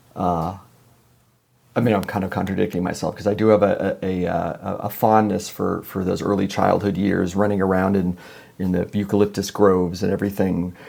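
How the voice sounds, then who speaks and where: With a Californian accent, a man talks at a fairly quick pace in a very deep, low pitch, his tone dark and mellow and his intonation monotone and flat. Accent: General American (Californian). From Los Angeles, California. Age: 60s. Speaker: musician. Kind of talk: podcast interview. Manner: halting, many repetitions and fillers.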